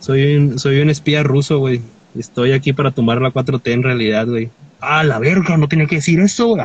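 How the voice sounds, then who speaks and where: This man has a plain, everyday voice with a fairly high pitch and ordinary pitch variation. His pace is moderate and his loudness very even. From Mexico, Tecate, Baja California. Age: 20s. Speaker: clothing store owner and folk musician. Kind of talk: casual chat. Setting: in a car, remote call.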